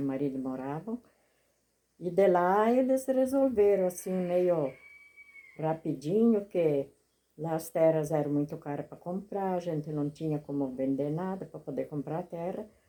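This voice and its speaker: A woman speaks in a dark, mellow tone with lively intonation. Her loudness swings widely. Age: 70s. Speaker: retired teacher and farmer. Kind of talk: interview. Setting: at her rural home.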